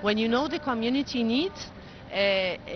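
With music in the background, a woman talks at a fairly high pitch with ordinary pitch variation and an Arabic accent, the sound dry with no echo. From Egypt. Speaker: engineer and NGO board member. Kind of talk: interview. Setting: studio. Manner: halting. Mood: earnest, committed. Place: boat. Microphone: handheld.

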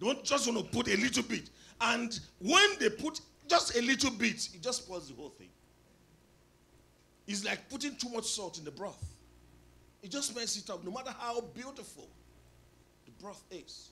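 A man's raised, projected voice at a moderate pace, with lively intonation, big swings in loudness, long, frequent pauses and light background noise. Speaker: preacher. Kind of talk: sermon. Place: church. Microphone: handheld.

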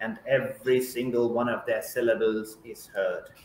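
A moderate pace in a Keralan accent, with audible room echo and light background noise. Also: man. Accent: Indian English (Malayali). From Kerala, India. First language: Malayalam. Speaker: poet. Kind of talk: poetry reading. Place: home room. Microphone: webcam.

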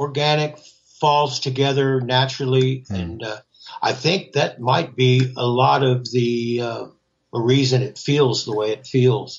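A somewhat breathy man with an American accent, medium in pitch, at a fairly slow pace with fairly even intonation. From Central Florida. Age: 70s. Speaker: rock guitarist and songwriter. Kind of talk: casual interview chat.

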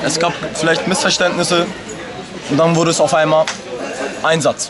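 A man speaks at a high pitch. Noticeable background noise runs underneath. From Germany, Hamburg, Turkish family. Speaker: local resident, witness. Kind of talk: street interview. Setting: outdoors. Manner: agitated. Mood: upset, indignant. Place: street. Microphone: phone near.

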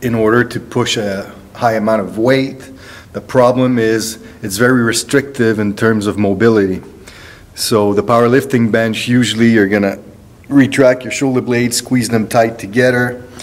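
A man speaks at a moderate pace in a monotone, flat delivery. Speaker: strength coach. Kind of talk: tutorial. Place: gym. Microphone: phone near.

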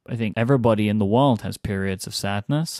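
A man with an American accent and a fairly low pitch, moderate pace, very clean recording and silent background. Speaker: podcast co-host. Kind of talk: casual chat.

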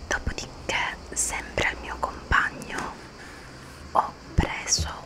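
Whispering at a very slow pace, a woman speaks. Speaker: ASMR creator. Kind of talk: ASMR whispered haul chat. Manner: whispered. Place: home room. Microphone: studio mic.

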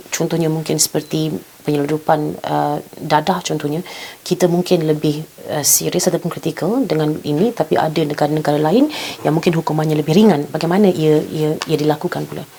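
Speaking in a Malaysian accent at a fairly quick pace, this voice keeps a fairly even intonation over noticeable background noise. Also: woman, very deep, low pitch for a woman. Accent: Malaysian Malay. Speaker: TV news talk show host. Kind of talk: formal current-affairs interview. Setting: studio.

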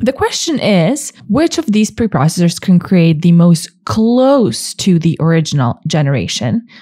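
At a moderate pace, a woman speaks at medium pitch in a somewhat breathy voice with very wide pitch swings. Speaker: tutorial presenter. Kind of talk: tutorial. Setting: screen-recorded video narration.

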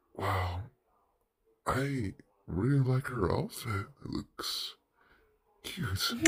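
Using a cartoonish character voice at a medium pitch, a man speaks at a very slow pace with long, frequent pauses. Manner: casual, upbeat.

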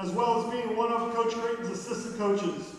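Over light background noise and strong room echo, a man speaks at an extremely high pitch in a monotone, flat delivery. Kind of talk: ceremony speech. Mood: formal, celebratory. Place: hall.

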